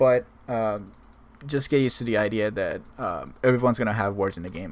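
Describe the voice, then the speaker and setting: Fairly quick, medium-pitched speech from a man. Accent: non-native. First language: not English. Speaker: gaming guide creator. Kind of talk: tutorial. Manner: halting, with many fillers.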